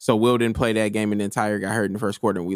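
On a very clean recording with a silent background, a man with an American accent speaks at a fairly low pitch with vocal fry, in a dry, close sound with no echo. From Decatur, Illinois. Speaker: high school basketball coach. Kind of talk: casual chat.

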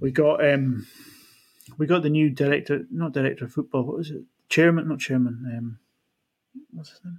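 A man with a Scottish Highland accent speaks at a moderate pace in a fairly high, somewhat breathy voice with ordinary pitch variation, big swings in loudness, and long, frequent pauses. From far north of Scotland. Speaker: football fan. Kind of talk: casual chat.

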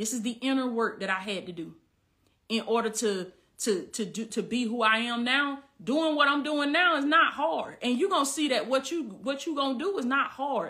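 With a Southern US accent, a woman speaks at a fairly quick pace in an animated, bright, sharp tone with ordinary pitch variation. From US South, Southwest Georgia. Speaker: life coach. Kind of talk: livestream Q&A. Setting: live video stream.

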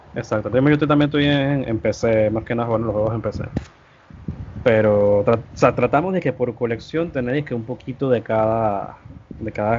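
At a moderate pace, a man with a medium-pitched voice and ordinary pitch variation speaks against noticeable background noise. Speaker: gaming content creator. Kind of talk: casual chat.

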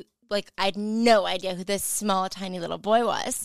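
On a very clean recording with a silent background and a dry, close sound with no echo, a woman with a plain, everyday voice and medium pitch speaks at a moderate pace with fairly even intonation. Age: 20s. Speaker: podcast guest, host's friend. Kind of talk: casual chat.

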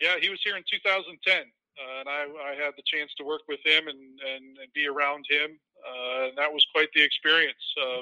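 An ordinary speaking voice from a man with an American accent, fairly high in pitch for a man, at a moderate pace, with fairly even intonation and big swings in loudness. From suburban Chicago. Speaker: baseball radio play-by-play broadcaster. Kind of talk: interview.

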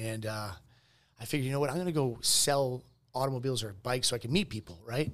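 A man speaks very fast in an American accent. His pitch is medium, with ordinary variation. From Boston area, Massachusetts. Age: 40s. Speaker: entrepreneur, medical clinic CEO. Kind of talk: casual interview.

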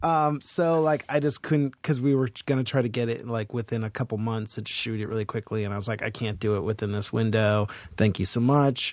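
In a very clean recording with a silent background, a man with an American accent speaks at a fairly quick pace with hardly any pauses. He has a plain, everyday voice at a medium pitch, with ordinary pitch variation. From Boston. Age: 40s. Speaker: actor and filmmaker. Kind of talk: casual interview chat. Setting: studio with headphones.

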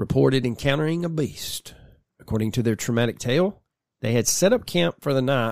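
An unforced reading voice with lively intonation is heard over a quiet background.

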